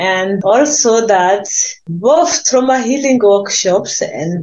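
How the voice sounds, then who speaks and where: Speaking at a very slow pace, a woman keeps her intonation lively. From Burundi. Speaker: peace activist and pastor. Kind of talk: interview. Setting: video call. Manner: halting.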